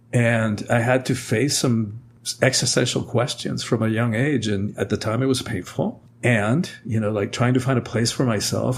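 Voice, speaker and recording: At a moderate pace, the somewhat breathy voice keeps a fairly even intonation. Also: man. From Cuba. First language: Spanish. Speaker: author and speaker. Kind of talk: podcast interview.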